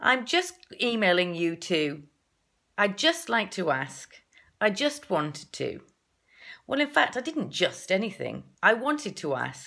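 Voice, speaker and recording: A woman's medium-pitched voice with a bright, sharp tone and vocal fry, very wide pitch swings, a fairly slow pace, and long, frequent pauses. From northern England. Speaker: confidence coach. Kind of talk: tutorial.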